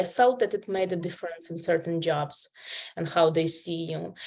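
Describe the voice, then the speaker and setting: A woman with a Ukrainian accent speaks at a moderate pace. Her pitch is fairly low. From Ukraine. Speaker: healthcare interpreter. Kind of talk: interview.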